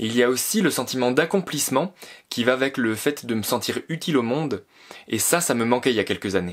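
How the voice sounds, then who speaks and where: Against a quiet background, a man speaks in an enthusiastic tone. His pace is fairly quick. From France, Alsace; France. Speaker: YouTuber, graphic designer living on a farm; YouTuber. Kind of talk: vlog Q&A monologue. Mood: calm, reflective. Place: home room.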